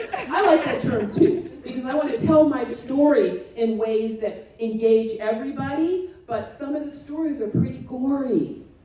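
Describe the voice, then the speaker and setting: Amid noticeable background noise and audible room echo, a woman talks loudly at a moderate pace in a high pitch, with lively intonation and hardly any pauses. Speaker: retired family physician and guest speaker. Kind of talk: talk to a student audience. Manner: dramatic, animated.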